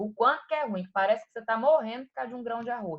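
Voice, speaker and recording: Her pitch is high and her intonation lively. The woman speaks at a very fast pace. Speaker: anatomy teacher. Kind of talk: online lecture.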